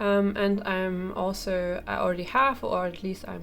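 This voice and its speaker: Music sits in the background. Over it, a woman talks fairly slowly. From Germany. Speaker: coloring book reviewer. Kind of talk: product review. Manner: hesitant, many fillers.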